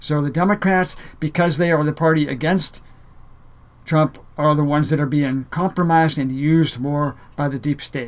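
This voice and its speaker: A man talks at a fairly high pitch with fairly even intonation. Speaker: spiritual video blogger. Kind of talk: monologue to camera. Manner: fast; halting with fillers.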